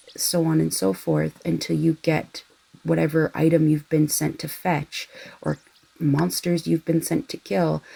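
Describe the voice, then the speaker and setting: A soft-spoken woman talks at a fairly slow pace, recorded with a dry, close sound and no echo. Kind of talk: casual rambling chat for background listening.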